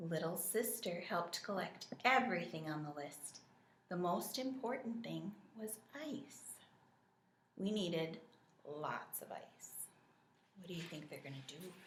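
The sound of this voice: With audible room echo, a woman speaks slowly at a fairly low pitch and uses lively intonation.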